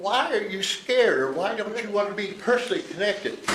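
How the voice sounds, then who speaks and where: Over noticeable background noise, the speaker talks at a fairly quick pace in an animated tone. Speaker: business owner speaking at public meeting. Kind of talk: public comment at county meeting. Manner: agitated, animated.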